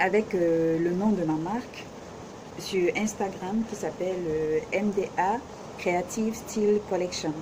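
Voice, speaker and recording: With noticeable background noise, the voice moves at a very slow pace, its loudness very even and its intonation fairly even. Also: woman, medium pitch for a woman. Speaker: vlogger, self-taught fashion designer. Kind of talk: casual vlog introduction. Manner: hesitant, many fillers; speaks loudly.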